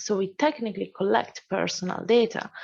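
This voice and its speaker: A woman speaks in a plain, everyday voice at a medium pitch. Her pitch variation is ordinary, and the background is quiet. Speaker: AI course instructor. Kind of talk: Q&A answer; lecture.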